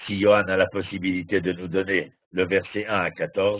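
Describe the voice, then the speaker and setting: A man speaks in a fairly low pitch. His pace is fairly slow. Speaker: Torah teacher. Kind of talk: lecture. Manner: trembling voice.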